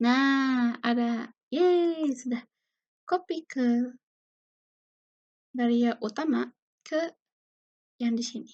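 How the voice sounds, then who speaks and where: In a quiet background, a soft-spoken woman with a high pitch and ordinary pitch variation talks at a very slow pace, pausing long and often. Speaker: university student; presenter. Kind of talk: tutorial. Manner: casual. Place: home room. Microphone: webcam.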